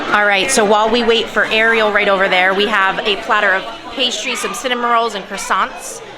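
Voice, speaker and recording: Crowd noise fills the background and the room echoes audibly. A woman speaks at a fairly high pitch with fairly even intonation. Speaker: family vlogger. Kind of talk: vlog narration. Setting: cable car ride.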